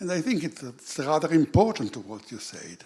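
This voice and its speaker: This man talks at a moderate pace with very wide pitch swings. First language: not English. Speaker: audience member asking a question. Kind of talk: conference Q&A question. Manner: halting.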